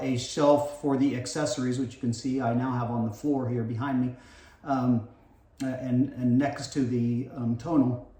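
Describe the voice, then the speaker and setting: Noticeable background noise sits behind the voice. A man talks at a moderate pace in a fairly high pitch. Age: 60s. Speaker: home fitness vlogger. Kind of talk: unboxing video. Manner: hesitant, many fillers.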